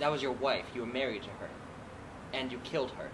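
Noticeable background noise sits behind a man talking. He goes at a fairly quick pace with ordinary pitch variation. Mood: accusing, intense. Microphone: camera far.

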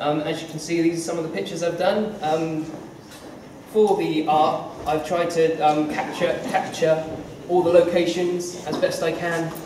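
A man with a high-pitched voice speaks at a moderate pace, with noticeable background noise and audible room echo. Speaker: comic artist giving a school talk. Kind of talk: informal talk to an audience. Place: hall. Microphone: camera far.

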